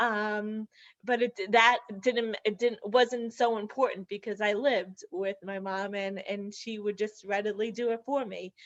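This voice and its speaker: A woman with an ordinary speaking voice talks fairly slowly at a fairly high pitch, her intonation fairly even. The sound is dry and close with no echo, over a quiet background. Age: 30s. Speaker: person with bilateral upper limb loss. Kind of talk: webinar panel discussion.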